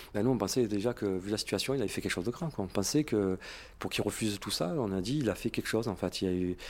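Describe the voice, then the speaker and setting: The man's voice sits fairly low. He talks very fast. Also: very clean recording, silent background. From Marseille, southern France. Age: 40s. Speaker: police officer. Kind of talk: recorded testimony.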